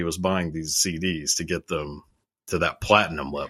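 A man with an American accent on a very clean recording against a silent background. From Texas. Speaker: YouTuber. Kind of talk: casual chat.

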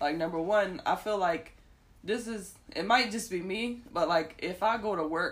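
This woman talks at a moderate pace in a normal speaking voice, her pitch medium and its variation ordinary. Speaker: podcast co-host. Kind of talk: casual chat.

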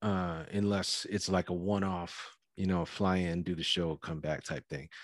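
A man with a calm tone at a fairly slow pace, quiet background behind him. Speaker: indie rapper and activist. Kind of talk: casual interview chat. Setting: remote call.

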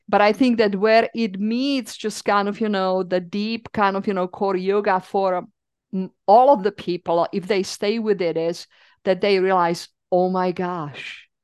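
A woman's medium-pitched voice with a Czech accent, fairly slow and fairly even, in a dry, close sound with no echo and a quiet background. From Czech Republic. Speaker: yoga teacher and therapist. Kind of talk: casual interview conversation.

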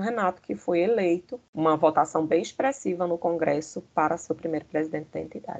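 Speaking in an ordinary speaking voice, a woman talks at a fairly quick pace with fairly low pitch and lively intonation. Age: 50s. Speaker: history teacher and former student leader. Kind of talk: interview.

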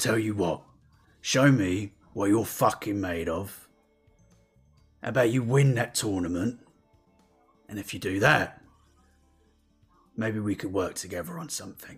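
A gruff, put-on character voice moves at a moderate pace with long, frequent pauses as faint music plays in the background. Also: man, fairly low pitch for a man. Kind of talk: game master character voice. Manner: gruff, blunt, profane.

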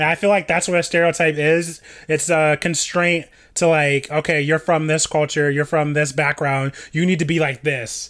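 With a General American accent, a man speaks at a moderate pace in a fairly high pitch. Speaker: podcast co-host. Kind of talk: casual chat. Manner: animated.

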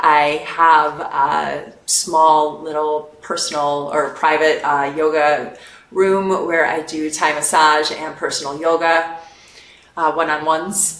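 Amid noticeable background noise and audible room echo, a woman speaks very slowly at a very deep, low pitch with monotone, flat intonation. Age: 40s. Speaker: yoga teacher. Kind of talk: casual chat.

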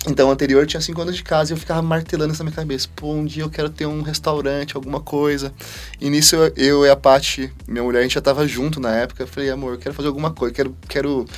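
A man speaks very fast, his fairly high voice keeping a fairly even intonation over noticeable background noise. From Brazil, interior of São Paulo state. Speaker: chef, cooking show contestant. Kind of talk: casual chat.

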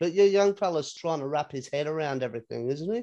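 Lively in intonation, a man with an Australian accent talks at a moderate pace, his fairly high voice carrying a dark, mellow tone. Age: 30s. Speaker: podcast host. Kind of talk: casual chat.

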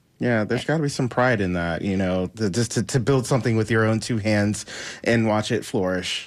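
This man has an unremarkable speaking voice, fairly low in pitch with ordinary pitch variation, moving at a fairly quick pace on a very clean recording with a silent background. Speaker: radio co-host. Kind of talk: casual chat. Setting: studio.

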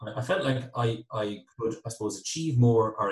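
Here a man speaks at medium pitch. His pace is moderate. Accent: western Irish. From Ireland, County Galway. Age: 30s. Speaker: IT business owner. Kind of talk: interview.

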